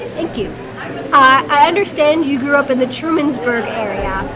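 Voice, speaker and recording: Over crowd noise in the background, a woman projects a raised voice at a high pitch. Her intonation is lively and her pace fairly slow. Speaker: historical society interviewer. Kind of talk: interview questions.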